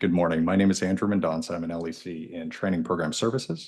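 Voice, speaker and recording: Against a quiet background, a man talks with a very deep, low pitch. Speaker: law enforcement consultant. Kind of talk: reading a staff report. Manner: fast when reading.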